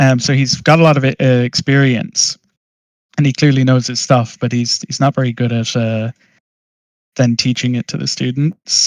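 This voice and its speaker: A man with an American accent speaks at a moderate pace, his intonation fairly even and the sound dry and close with no echo. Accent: Irish, often mistaken for American. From Ireland. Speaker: master's student in 3D art. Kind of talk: casual chat.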